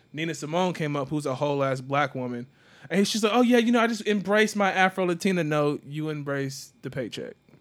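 In a very clean recording with a silent background, a man with a normal speaking voice talks at a fairly quick pace, his fairly high pitch carried by lively intonation. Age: 30s. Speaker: podcast host. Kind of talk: casual chat.

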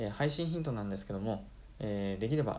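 With audible room echo, a man speaks in a dark, mellow tone with ordinary pitch variation. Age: 20s. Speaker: podcaster, engineer. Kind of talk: solo podcast introduction. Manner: polite formal.

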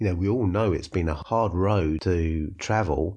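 Against a quiet background, a man speaks in a very deep, low pitch with a dark, mellow tone that is somewhat breathy. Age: 50s. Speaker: podcast host, franchise business owner. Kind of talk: solo podcast monologue. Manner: conversational, with filler words.

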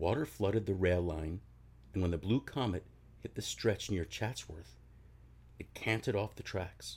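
A man's very deep, low voice with vocal fry, lively intonation and long, frequent pauses. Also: moderate pace. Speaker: podcast host reading aloud. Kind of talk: ghost story telling, read aloud in a hushed, spooky narrator style. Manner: self-deprecating, casual, slightly halting at the end.

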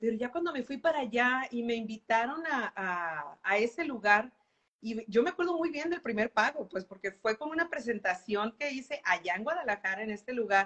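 Her pitch swings very widely as this woman, fairly high-voiced, talks at a moderate pace. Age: 40s. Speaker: professional musician and singer. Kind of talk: interview on a live stream. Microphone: unstable internet connection.

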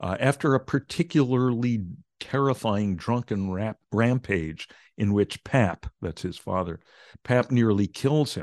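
With lively intonation, a man speaks at a fairly slow pace in a dry, close sound with no echo and a quiet background. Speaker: meditation teacher and author. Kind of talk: casual interview.

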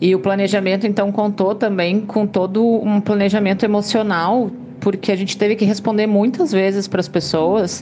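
A woman at medium pitch and moderate pace, with very even loudness, fairly even intonation and hardly any pauses, over noticeable background noise. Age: 30s. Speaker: mother with multiple sclerosis. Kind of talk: testimony.

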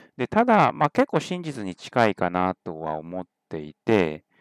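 An unremarkable speaking voice from a man, fairly low in pitch, with lively intonation, a fairly slow pace and a dry, close sound with no echo. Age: 30s. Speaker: podcast host and tech company CEO. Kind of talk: solo podcast monologue. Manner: casual with many fillers.

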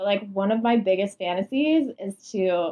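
A woman's medium-pitched voice with lively intonation and a Canadian accent, a plain, everyday voice. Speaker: podcast host. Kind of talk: casual chat. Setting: at home, in bedroom.

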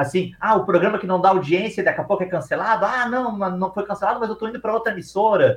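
Barely pausing, a man with a high pitch talks at a very fast pace. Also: ordinary pitch variation. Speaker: film podcast host. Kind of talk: casual chat.

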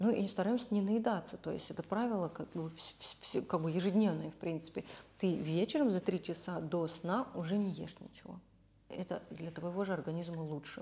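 A woman speaks at a moderate pace with fairly low pitch. Her tone is dark and mellow, and somewhat breathy. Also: ordinary pitch variation. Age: 30s. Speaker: makeup artist. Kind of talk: casual chat.

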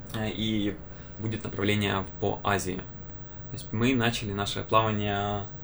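A man at a fairly low pitch, monotone and flat, fairly slow with long, frequent pauses, amid audible room echo. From Ukraine, Kyiv. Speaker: student podcast host. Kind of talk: casual chat.

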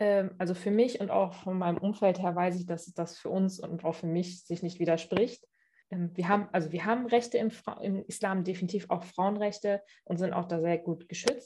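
A woman speaks at a moderate pace in a medium pitch with a dark, mellow tone. Her voice is somewhat breathy and her intonation fairly even. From Germany, Cologne. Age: 20s. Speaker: interview guest. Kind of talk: interview. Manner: hesitant, many fillers.

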